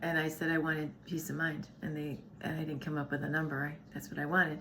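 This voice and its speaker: With audible room echo, a woman with a very deep, low pitch speaks in a bright, sharp tone and a monotone, flat intonation. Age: 60s. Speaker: wellness channel co-host. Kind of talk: casual chat.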